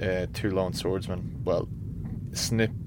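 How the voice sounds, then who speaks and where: A man talks at a fairly slow pace with ordinary pitch variation. He has a plain, everyday voice. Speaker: radio DJ. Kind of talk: radio DJ patter, casual show intro and outro. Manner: chatty, rambling.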